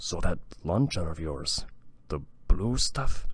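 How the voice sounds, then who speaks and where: A man's put-on character voice, very deep and low in pitch, at a fairly slow pace. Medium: read story. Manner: warm.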